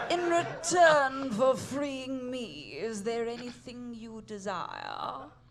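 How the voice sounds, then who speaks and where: A put-on character voice with a fairly high pitch drawls at a very slow pace. There are hardly any pauses. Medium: audio drama. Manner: grandiose, mystical.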